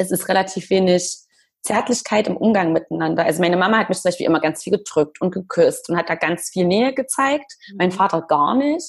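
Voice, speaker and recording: Somewhat breathy, a woman speaks at a fairly quick pace with lively intonation and a medium pitch. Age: 30s. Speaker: blogger. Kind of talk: interview.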